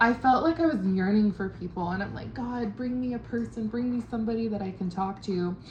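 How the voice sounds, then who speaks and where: With a strong Californian accent, the speaker rushes along at a fairly quick pace with hardly any pauses and ordinary pitch variation, over noticeable background noise. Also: woman, fairly high pitch for a woman. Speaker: travel vlogger. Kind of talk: casual vlog monologue. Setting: at a homestay in Ubud. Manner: enunciates carefully.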